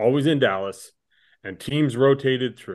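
Here is a man with an unremarkable speaking voice and fairly high pitch. He moves at a moderate pace with lively intonation. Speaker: podcast co-host. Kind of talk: casual chat.

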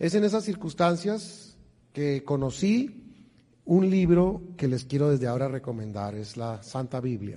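A man speaks fairly slowly at a fairly high pitch, with very wide pitch swings and a dark, mellow, somewhat breathy tone. Audible room echo surrounds the voice. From Colombia, Bogotá. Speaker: financial stewardship speaker. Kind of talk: church seminar talk. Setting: church with audience.

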